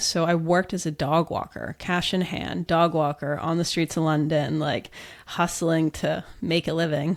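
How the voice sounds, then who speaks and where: A woman with an American accent speaks at a moderate pace and a fairly low pitch, with fairly even intonation and a plain, everyday voice. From US. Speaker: business founder. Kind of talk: interview.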